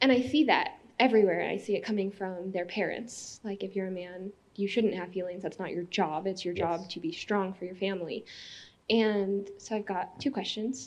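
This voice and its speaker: Over a quiet background, a woman with a plain, everyday voice speaks at a moderate pace, her medium pitch showing ordinary variation. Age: 20s. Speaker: audience member asking a question. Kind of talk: audience question.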